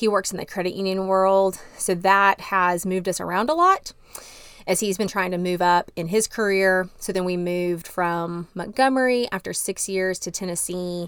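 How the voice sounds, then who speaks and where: Speaking in a Texan accent at a moderate pace, a woman has a medium pitch and fairly even intonation. The recording is very clean, and the background is silent. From Texas, Dallas. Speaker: marriage and family therapist. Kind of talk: personal testimony interview.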